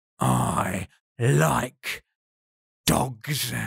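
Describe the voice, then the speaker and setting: In a put-on character voice, a man growls and hisses at a very deep, low pitch with very wide pitch swings. The sound is dry and close, with no echo. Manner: venomous, hissing, menacing.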